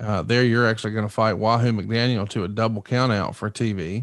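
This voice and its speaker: The background is quiet and the sound is dry with no echo. A man talks at a moderate pace with fairly even intonation. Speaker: podcast host. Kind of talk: casual interview and history recap. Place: home room. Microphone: studio mic.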